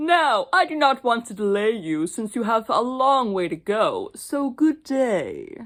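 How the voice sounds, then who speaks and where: Putting on a character voice, a man speaks at an extremely high pitch, fairly slowly and with hardly any pauses. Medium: read story. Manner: falsely polite, smooth.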